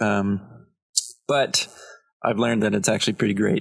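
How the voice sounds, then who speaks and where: A man's fairly low voice with a Canadian accent. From Ontario, Canada (Belleville). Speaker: comedian. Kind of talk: casual chat.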